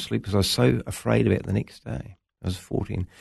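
Over a quiet background, a man talks at a very fast pace with a New Zealand accent and vocal fry. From New Zealand, Wellington (Lower Hutt). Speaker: pastor. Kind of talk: interview, personal testimony.

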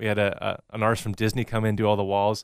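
A man speaks at a fairly quick pace in a very clean recording with a silent background and a dry, close sound with no echo. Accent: American. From US Pacific Northwest (Washington state). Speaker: pastor. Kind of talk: interview.

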